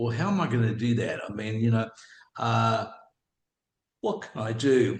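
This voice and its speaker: The speaker talks at a moderate pace in a somewhat breathy voice with an Australian accent. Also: man. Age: 70s. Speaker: businessman and property investor. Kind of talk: interview. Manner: halting.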